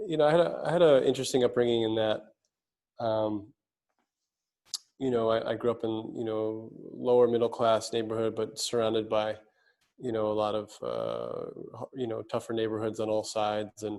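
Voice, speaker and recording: A man's dark, mellow, medium-pitched voice with a New York accent, moderate pace, fairly even intonation and long, frequent pauses. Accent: New York American. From US, New York City. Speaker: speaker and mentor. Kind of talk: interview conversation.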